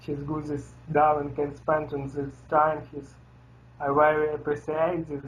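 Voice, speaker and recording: With a non-native accent, this speaker proceeds at a fairly slow pace. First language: not English. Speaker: metal band member. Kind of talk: interview. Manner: halting.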